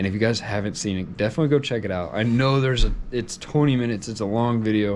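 A man at a very fast pace with ordinary pitch variation, over light background noise. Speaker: vlogger. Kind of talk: casual vlog chat. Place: home room. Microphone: phone near.

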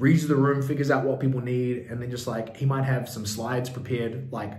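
Someone speaks at a fairly quick pace with fairly even intonation, over noticeable background noise and audible room echo. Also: man. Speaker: business coach. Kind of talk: tutorial.

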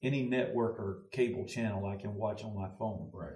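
A somewhat breathy voice with a Southern US accent, fairly even intonation and audible room echo. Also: man. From US South (Louisiana, Mississippi). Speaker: pastor. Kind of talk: casual discussion. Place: studio.

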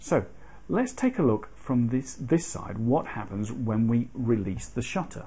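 A man at a fairly slow pace, with a British accent. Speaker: photography hobbyist. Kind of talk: tutorial explanation to camera. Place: home room.

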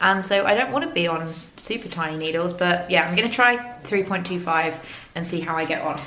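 Audible room echo surrounds a woman's fairly low-pitched voice. She speaks at a moderate pace.

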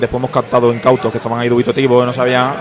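There is noticeable background noise behind the man, whose pitch sits in the medium range. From Spain, Seville (Andalusia). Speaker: board game company marketing manager. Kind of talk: interview. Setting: convention floor.

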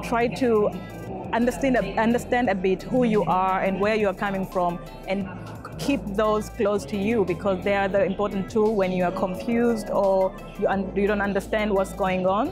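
A woman speaks at a moderate pace with fairly even intonation and very even loudness. Clear music plays in the background of the dry sound with no echo. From Tanzania. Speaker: project manager. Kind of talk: interview answer. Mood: calm, thoughtful. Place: hall.

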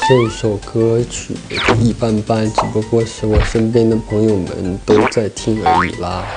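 Loud music plays in the background while a man talks at a fairly slow pace. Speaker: singer. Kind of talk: interview answer. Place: studio. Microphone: handheld.

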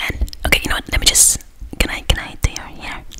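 Whispering from a woman, moderately paced. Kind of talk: role-play chat to viewer. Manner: soft intimate close-mic voice. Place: home room. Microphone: studio mic.

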